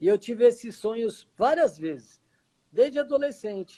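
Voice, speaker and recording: Dark and mellow in tone, a man speaks at a moderate pace with ordinary pitch variation. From Brazil, São Paulo. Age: 40s. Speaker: expatriate interviewee. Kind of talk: interview conversation.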